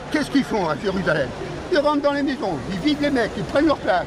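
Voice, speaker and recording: With crowd noise in the background, a man speaks at an extremely high pitch in an animated tone with very wide pitch swings. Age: 80s+. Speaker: retired political activist. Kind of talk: heated street discussion. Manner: halting.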